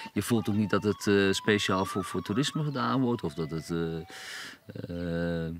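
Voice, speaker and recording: At a fairly slow pace, a man speaks in a fairly low pitch with lively intonation. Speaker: musician. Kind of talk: documentary interview. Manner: halting, many repetitions.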